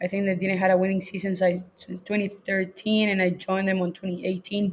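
With a Spanish accent, the speaker talks at a moderate pace, somewhat breathy and in a monotone, flat intonation. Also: woman. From Chile. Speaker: college soccer coach. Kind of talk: casual interview chat.

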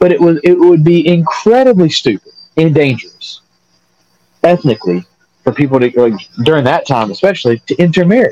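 In a Southern US accent, a man talks at a fairly quick pace and fairly high pitch. His pitch swings very widely, broken by long, frequent pauses. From North Carolina. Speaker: podcast co-host. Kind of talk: casual chat.

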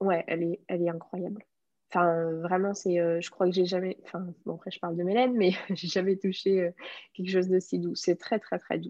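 Her tone is dark and mellow, at a medium pitch for a woman. She speaks at a moderate pace with monotone, flat intonation. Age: 20s. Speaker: hand-dyed yarn business owner. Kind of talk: interview. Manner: hesitant, many fillers.

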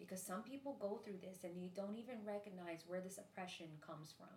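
Noticeable background noise behind a woman's medium-pitched voice at a moderate pace. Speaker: podcast host. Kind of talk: casual chat, faith podcast.

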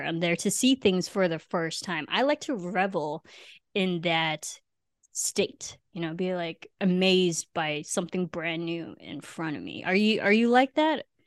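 Woman with an ordinary speaking voice and a General American accent, medium pitch, ordinary pitch variation, fairly slow pace, in a dry, close sound with no echo. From US Midwest. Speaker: podcast host. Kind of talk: casual chat.

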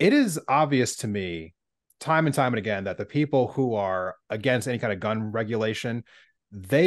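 In a normal speaking voice, a man speaks at a fairly slow pace with medium pitch and lively intonation, against a quiet background. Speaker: podcast co-host. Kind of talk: casual political discussion.

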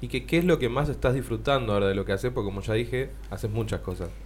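A man speaks in a Rioplatense accent. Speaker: radio host. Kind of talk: casual chat.

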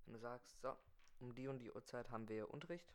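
A man's voice is heard here. It holds a medium pitch. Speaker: podcast host. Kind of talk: improvised solo monologue. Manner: fast.

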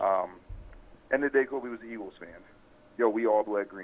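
Moderately paced speech from a medium-pitched man, over noticeable background noise. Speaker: caller.

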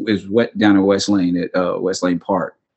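A man is speaking. He keeps a moderate pace. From Kentucky. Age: 30s. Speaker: podcast co-host. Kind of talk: casual chat.

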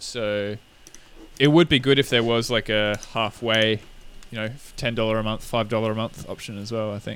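A man at medium pitch speaks at a moderate pace with fairly even intonation. His loudness swings widely, and he leaves long, frequent pauses. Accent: Australian. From Australia. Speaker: podcast co-host. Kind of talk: casual chat.

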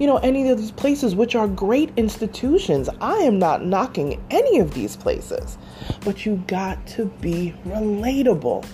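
A woman with an American accent at a moderate pace, music in the background. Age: 40s. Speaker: podcast host. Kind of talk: casual chat.

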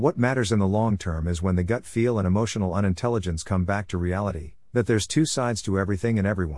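A plain, everyday voice from a man, fairly low in pitch with ordinary pitch variation, over a quiet background. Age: 60s. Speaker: author and relationship coach. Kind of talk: audiobook narration.

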